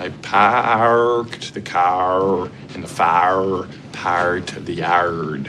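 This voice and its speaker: Over clear background noise, a man uses a strained, put-on character voice with a very deep, low pitch at a very slow pace. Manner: wonky rolled R's, like a heart attack.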